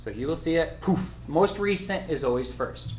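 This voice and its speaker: Audible room echo is heard around this voice. A man speaks at a moderate pace. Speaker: title company representative giving training. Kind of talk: software tutorial / training class. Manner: animated.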